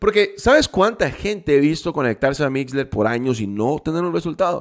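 An animated man's voice at a moderate pace, with very wide pitch swings over a very clean recording with a silent background. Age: 20s. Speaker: network marketing leader. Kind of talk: motivational talk.

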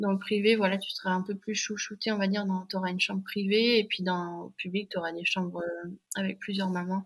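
A woman's voice comes across as somewhat breathy. Her intonation is monotone and flat. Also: medium pitch for a woman, fairly quick pace. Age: 30s. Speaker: mother and app founder. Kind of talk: interview testimony. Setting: podcast microphone.

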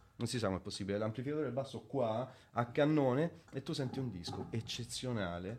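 A man at a fairly quick pace, medium in pitch. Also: ordinary pitch variation. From central Italy, Viterbo province (Lazio). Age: 30s. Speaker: bassist and music producer. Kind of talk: casual interview chat. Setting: live-streamed video podcast.

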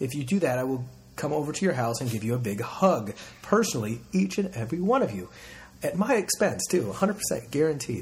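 A man's medium-pitched, somewhat breathy voice at a fairly quick pace, with very wide pitch swings. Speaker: podcast host. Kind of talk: casual interview chat.

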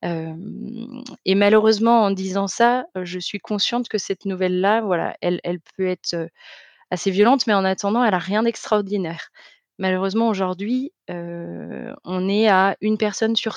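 Against a quiet background, a woman speaks at a fairly slow pace and medium pitch with fairly even intonation. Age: 30s. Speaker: testimony guest, soap maker. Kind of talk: testimony. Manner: halting, many hesitations.

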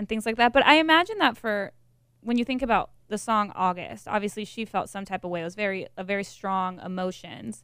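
A woman speaks at a fairly quick pace with a medium pitch and ordinary pitch variation, in a plain, everyday voice, on a very clean recording with a silent background. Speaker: podcast co-host. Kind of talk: casual chat.

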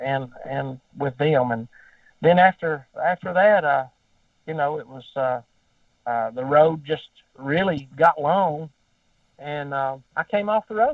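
Fairly slow speech with a Southern US accent and ordinary pitch variation. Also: man. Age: 50s. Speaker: gospel singer. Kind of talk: casual chat. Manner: talkative.

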